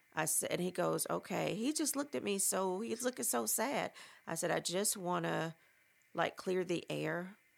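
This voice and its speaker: A woman speaks at a moderate pace with very even loudness. The recording is very clean, the background silent. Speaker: podcast host and memoir author. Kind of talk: casual monologue, partly reading from own book. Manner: rising pitch when agitated; conversational, with frequent fillers.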